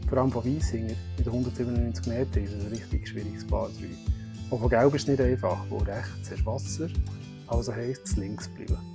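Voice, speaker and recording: A man's fairly low, lively voice with a Swiss accent at a fairly quick pace, over music in the background. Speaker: amateur golfer. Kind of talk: explanatory voice-over. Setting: outdoors.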